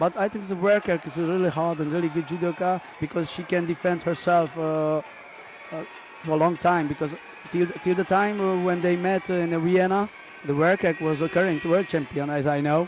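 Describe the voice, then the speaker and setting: A man with a Hungarian accent speaks at a high pitch with fairly even intonation. Noticeable background noise runs behind him. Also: moderate pace. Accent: non-native English, Hungarian. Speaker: judo expert co-commentator. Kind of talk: live sports commentary. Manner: halting, many hesitations.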